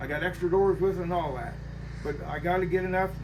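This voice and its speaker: Noticeable background noise and audible room echo fill the recording. A man talks at a very fast pace. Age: 70s. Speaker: hot rod garage owner. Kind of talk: casual chat.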